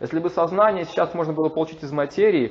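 Talking very fast, a man with a fairly high voice shows vocal fry. His intonation is lively. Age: 40s. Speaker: lecturer on Vedic philosophy. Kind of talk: lecture. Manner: halting, frequent filler sounds.

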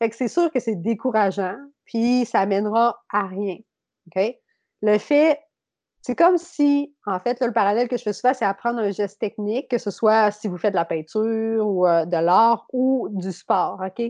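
In a Beauce accent, the speaker moves at a fairly slow pace with lively intonation. The sound is dry and close with no echo, over a quiet background. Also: woman, fairly high pitch for a woman. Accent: Québécois French, Beauce. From Quebec, Beauce region. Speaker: yoga teacher and mental performance consultant. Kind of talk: casual interview chat.

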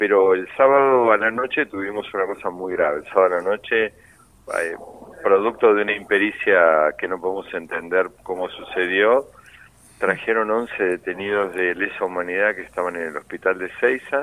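Using an unremarkable speaking voice, a man talks at a fairly low pitch and moderate pace with ordinary pitch variation. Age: 60s. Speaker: political prisoner, former official. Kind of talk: phone interview.

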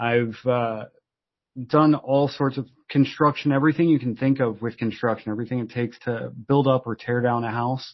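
An unremarkable speaking voice from a man, medium in pitch, with fairly even intonation at a moderate pace. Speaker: startup founder. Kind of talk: casual interview.

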